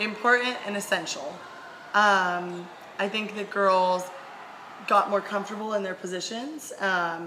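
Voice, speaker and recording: Noticeable background noise and audible room echo surround a woman's voice. She speaks at a medium pitch with fairly even intonation. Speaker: college volleyball player. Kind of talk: casual chat.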